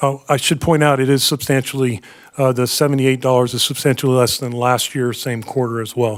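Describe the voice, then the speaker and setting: The recording is very clean, with a silent background. A man talks at a fairly quick pace and medium pitch in monotone, flat intonation. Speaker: utility finance staff presenter. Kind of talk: board meeting presentation. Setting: public board meeting. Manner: fast; halting, many fillers.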